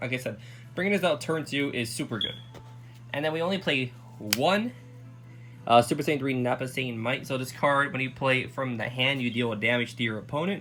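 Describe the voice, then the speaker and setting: A man talks with ordinary pitch variation. Behind him, music can be heard. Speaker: card game deck reviewer. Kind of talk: casual talk to camera.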